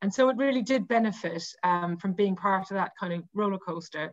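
A woman speaks at a fairly quick pace with a Cork accent and medium pitch. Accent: Cork Irish. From Ireland, Cork. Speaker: women's rugby website editor. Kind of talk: casual interview.

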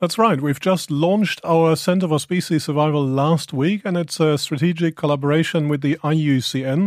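Fairly high in pitch, a man speaks with a German accent. His pace is fairly quick. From Germany. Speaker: zoo director. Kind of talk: radio interview. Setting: studio.

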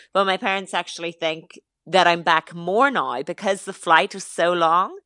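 The voice has a bright, sharp tone with an Irish accent, fairly even intonation and a moderate pace. The sound is dry and close, with no echo. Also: woman. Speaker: fitness influencer. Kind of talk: radio interview.

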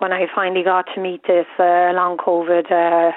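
A woman talks with an Irish accent. Her medium-pitched voice moves at a fairly slow pace. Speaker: caller. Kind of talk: radio phone-in. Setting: phone call. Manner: halting.

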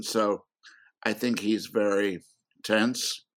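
A man's voice with a fairly low pitch. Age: 80s+. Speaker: film critic and author. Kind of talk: interview.

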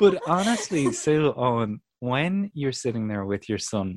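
With a Dublin accent, a man speaks at a medium pitch and a fairly slow pace. His pitch swings very wide. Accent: Irish (Dublin). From Dublin, Ireland. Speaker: comedian and podcast host. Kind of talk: casual chat. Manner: animated.

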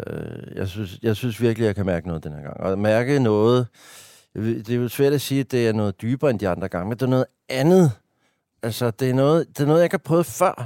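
On a very clean recording with a silent background and a dry, close sound with no echo, a man speaks at a fairly quick pace with lively intonation and a dark, mellow tone. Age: 50s. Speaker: stand-up comedian and writer. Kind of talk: casual interview conversation. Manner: talkative.

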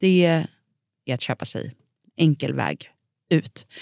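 A woman speaks in a dark, mellow tone with ordinary pitch variation. The recording is very clean and dry, close with no echo and a silent background. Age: 30s. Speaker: food podcast host. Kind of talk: casual chat.

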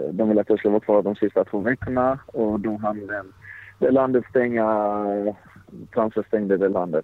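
The intonation stays fairly even at a moderate pace. Long pauses come often. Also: man, fairly low pitch for a man. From Sweden, Blekinge (Karlshamn). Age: 20s. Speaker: professional footballer. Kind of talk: interview. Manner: halting.

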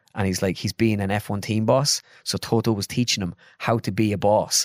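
On a very clean recording with a silent background and a dry, close sound with no echo, a man speaks at a fairly quick pace in a fairly low voice with fairly even intonation. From Ireland (midlands). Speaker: comedian and sketch video maker. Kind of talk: casual chat. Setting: studio.

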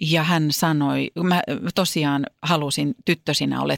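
A woman speaks very slowly at a very deep, low pitch. The recording is very clean with a silent background, dry and close with no echo. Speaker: podcast co-host and entertainer. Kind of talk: casual chat. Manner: distinctive stresses and speech rhythm.

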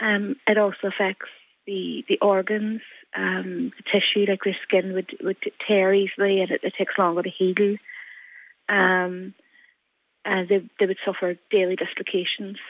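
In a Donegal accent, a woman speaks at a medium pitch and a fairly slow pace. Her intonation is monotone and flat, broken by long, frequent pauses. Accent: Donegal Irish. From Ireland, County Donegal. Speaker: mother seeking housing. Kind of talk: radio interview.

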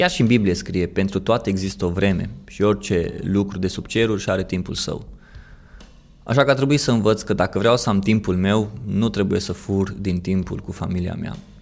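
This is an unremarkable speaking voice at a moderate pace. Pitch varies in an ordinary way. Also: man, fairly low pitch for a man. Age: 30s. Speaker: podcast host, marketer. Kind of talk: personal monologue.

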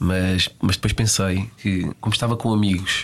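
A man with a European Portuguese accent, a very deep, low pitch and fairly even intonation. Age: 30s. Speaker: football physiotherapist. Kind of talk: casual interview. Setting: studio.

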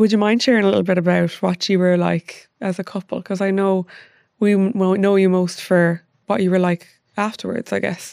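Against a quiet background, the speaker talks at a fairly quick pace in a monotone, flat intonation, with a dry, close sound that has no echo. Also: woman, medium pitch for a woman. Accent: Irish. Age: 30s. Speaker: podcast host. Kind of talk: casual chat interview.

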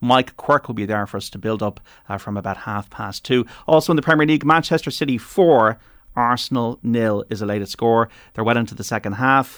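A man with an Irish accent speaks at a fairly quick pace and medium pitch, with ordinary pitch variation and big swings in loudness. The recording is very clean with a silent background, and the sound is dry and close with no echo. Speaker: radio sports host. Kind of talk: radio panel chat; news reading. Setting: radio studio.

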